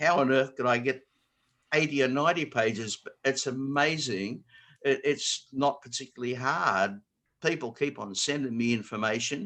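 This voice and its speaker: Speaking with an Australian accent, a man uses a medium pitch, ordinary pitch variation and a bright, sharp tone at a moderate pace. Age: 70s. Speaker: square dance caller and note service writer. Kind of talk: online talk to callers. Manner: halting.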